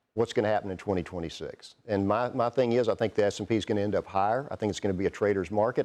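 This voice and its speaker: A man speaks in a Southern US accent at a fairly low pitch. His tone is dark and mellow. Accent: Southern drawl. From Texas. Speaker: investment firm CEO, portfolio manager. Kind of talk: TV business news interview.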